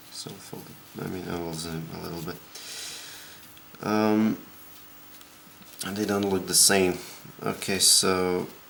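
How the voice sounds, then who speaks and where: Amid noticeable background noise and audible room echo, a man speaks with a very deep, low pitch and monotone, flat intonation at a very slow pace with long, frequent pauses. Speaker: origami tutorial maker. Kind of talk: tutorial. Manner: quiet, soft-spoken.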